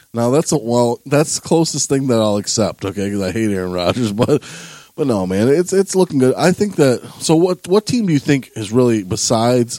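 With an American accent, a man speaks at a medium pitch in a dark, mellow tone, his pitch swinging very widely in a dry, close recording with no echo. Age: 20s. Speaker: sports podcast host. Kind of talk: casual chat.

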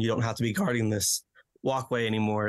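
A man's medium-pitched voice, monotone and flat, at a fairly quick pace against a quiet background. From Romania. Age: 20s. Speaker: therapist and social worker. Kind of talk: podcast interview.

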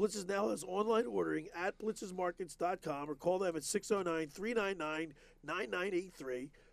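A man speaks in a high-pitched voice. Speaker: sports radio host. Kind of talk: radio talk show with ad reads. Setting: studio.

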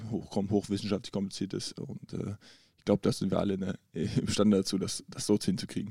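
A man's dark, mellow voice at a fairly quick pace, in a very clean recording with a silent background. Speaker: professional basketball player. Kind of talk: casual chat. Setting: in person at a table in a hotel.

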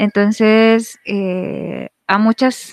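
The sound is dry and close, without any echo. It is a woman talking. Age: 20s. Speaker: teacher. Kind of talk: panel discussion.

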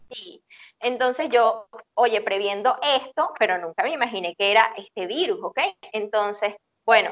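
An ordinary speaking voice from a woman, fairly high in pitch, with lively intonation and a fairly slow pace, in a dry, close sound with no echo. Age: 40s. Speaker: psychologist. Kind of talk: interview.

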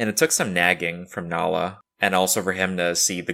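The tone is bright and sharp, delivered at a fairly quick pace. The recording is very clean, with a silent background. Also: man. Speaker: podcast host. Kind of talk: personal reflection monologue. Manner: many filler words.

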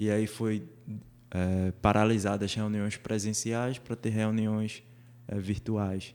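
A man with a fairly low pitch speaks at a very slow pace, leaving long, frequent pauses. His intonation is monotone and flat. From Recife, Brazil. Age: 20s. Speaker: church youth activist. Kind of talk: casual interview chat.

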